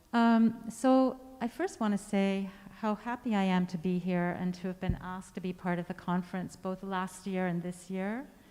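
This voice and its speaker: Soft-spoken, a woman talks at a moderate pace with fairly even intonation. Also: medium pitch for a woman. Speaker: composer. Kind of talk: artist talk to audience. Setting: stage with audience, speaking through a mask.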